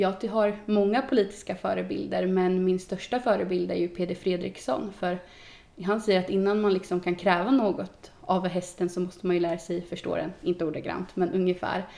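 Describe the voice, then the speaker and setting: A woman speaks at a moderate pace with a medium pitch. It is a normal speaking voice with fairly even intonation. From Sweden, Östergötland (Boxholm). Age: 20s. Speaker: youth politician. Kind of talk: casual interview. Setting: on location.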